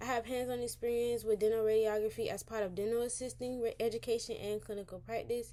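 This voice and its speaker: Her pitch fairly high and her tone dark and mellow, a woman races along at a very fast pace with hardly any pauses in a monotone, flat intonation. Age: 20s. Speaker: dental assistant job candidate. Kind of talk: mock job interview. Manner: hesitant with fillers.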